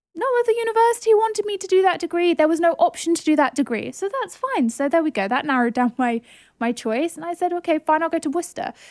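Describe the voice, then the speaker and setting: On a very clean recording with a silent background and a dry, close sound with no echo, a woman with a southern English accent talks at a fairly quick pace, her extremely high pitch swinging very widely. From southern England. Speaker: podcast host. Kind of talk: casual chat.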